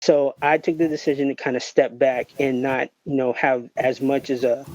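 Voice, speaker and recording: In an unremarkable speaking voice, a man talks with a fairly high pitch and fairly even intonation, the sound dry and close with no echo. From Miami, Florida. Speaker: guest sharing personal story. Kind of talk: testimony. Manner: casual, frequent fillers.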